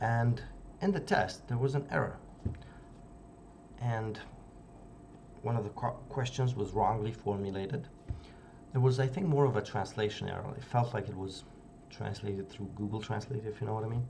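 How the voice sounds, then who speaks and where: A man with a non-native accent speaks at medium pitch and a moderate pace, with ordinary pitch variation and long, frequent pauses. Audible room echo surrounds his voice. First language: not English. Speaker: youtuber discussing psychology books. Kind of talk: casual video essay. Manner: halting with fillers.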